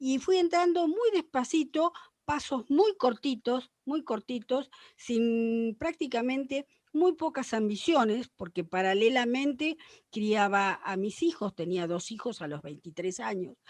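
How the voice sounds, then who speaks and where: Against a quiet background with a dry, close sound and no echo, a woman speaks at a fairly slow pace in a high pitch with very wide pitch swings. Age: 70s. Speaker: paleontologist. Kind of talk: panel discussion.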